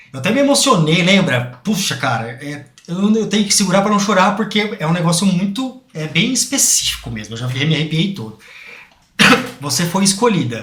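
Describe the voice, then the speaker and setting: A man speaks in a high pitch with very wide pitch swings. Audible room echo and noticeable background noise surround him. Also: moderate pace. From Brazil, interior of São Paulo (Bauru). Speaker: podcast host. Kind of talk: podcast interview.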